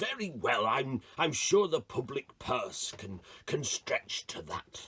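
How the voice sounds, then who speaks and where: A man puts on a pompous character voice, fairly high in pitch and fairly slow. The sound is dry and close, with no echo. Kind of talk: comic overacting. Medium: read story. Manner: blustering, pompous.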